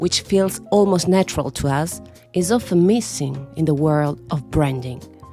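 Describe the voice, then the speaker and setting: A woman with an Italian accent, music in the background. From Italy. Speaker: voice artist and storyteller. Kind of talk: podcast monologue.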